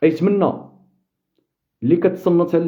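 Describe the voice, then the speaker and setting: A man speaks in a Moroccan accent with a high pitch. His pitch moves in an ordinary way. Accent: Moroccan Darija. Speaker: football fan commentator. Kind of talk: live stream chat with viewers. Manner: sharp, impassioned.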